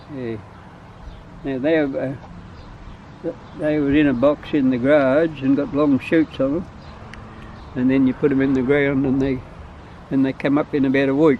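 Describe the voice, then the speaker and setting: A man at a fairly high pitch and moderate pace, monotone and flat, with long, frequent pauses and noticeable background noise. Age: 80s+. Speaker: vegetable gardener. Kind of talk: casual garden talk.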